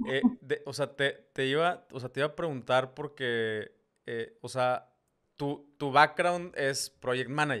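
A man's very slow, fairly high-pitched voice with a Mexican accent, bright and sharp in tone, with big swings in loudness against a quiet background. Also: ordinary pitch variation. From Mexico. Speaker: podcast host. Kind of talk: casual interview. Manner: halting, many repetitions. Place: home room. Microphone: studio mic.

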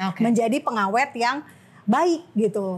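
At a moderate pace, a woman talks with a somewhat breathy voice. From Makassar, Indonesia (Manado family); Indonesia. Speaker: journalist and activist; journalist. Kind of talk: casual interview. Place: studio.

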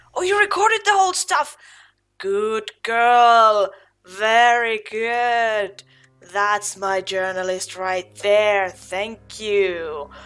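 Faint music sits behind a woman who speaks very slowly at a fairly high pitch. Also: ordinary pitch variation. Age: 30s. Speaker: gamer. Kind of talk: let's play commentary. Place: home room.

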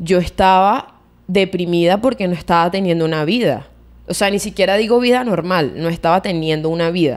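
A woman with a Venezuelan accent speaks in a fairly low pitch. Her pace is moderate and the background is quiet. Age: 20s. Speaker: podcast co-host. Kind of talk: casual chat. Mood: reflective, personal. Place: home room. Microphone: studio mic.

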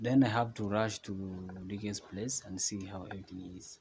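With light background noise, a man talks at a very slow pace. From Kenya. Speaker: travel vlogger. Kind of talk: casual vlog narration. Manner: animated. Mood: earnest, grateful. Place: home room. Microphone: phone near.

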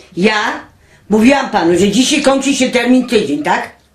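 A fairly slow delivery carries audible echo from the room. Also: woman. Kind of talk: angry casual rant and phone call. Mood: indignant, angry, swearing. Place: home room. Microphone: camera far.

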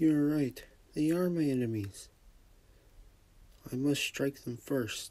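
A man speaks at a very slow pace with ordinary pitch variation. His tone is dark and mellow. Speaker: amateur comic dub voice actor. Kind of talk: fan comic dub.

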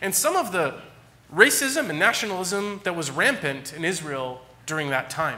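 A man with an American accent speaks at a high pitch in a bright, sharp tone, his pitch swinging very widely. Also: moderate pace. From California. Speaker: pastor. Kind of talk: sermon. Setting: church. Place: church.

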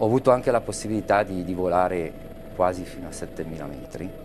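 Fairly slow speech with ordinary pitch variation and noticeable background noise. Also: man. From northern Italy, Lecco area (Mandello del Lario). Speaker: aerial photographer. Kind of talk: interview. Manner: halting, with many fillers and repetitions. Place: studio. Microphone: lapel.

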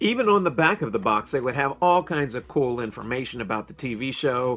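Speaking fairly quickly, a man delivers his words. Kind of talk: casual vlog chat. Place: home room. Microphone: phone near.

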